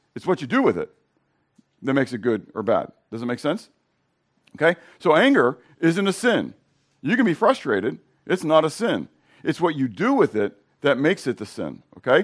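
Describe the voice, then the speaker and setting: With vocal fry and a fairly high pitch, a man speaks at a moderate pace, taking long, frequent pauses, his pitch swinging very widely. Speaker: preacher. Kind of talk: sermon. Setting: church. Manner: halting, with fillers and restarts.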